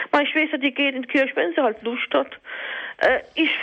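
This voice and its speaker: Noticeable background noise surrounds a woman whose high-pitched voice has lively intonation. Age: 50s. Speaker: caller. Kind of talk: testimony.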